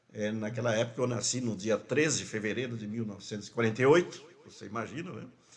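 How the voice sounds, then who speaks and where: Speaking at a very fast pace with hardly any pauses, a man at medium pitch shows ordinary pitch variation and big swings in loudness amid audible room echo. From Mato Grosso do Sul, Brazil (Rio Brilhante, ranch). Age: 70s. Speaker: pastor. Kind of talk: interview, life story. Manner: halting, repetitions.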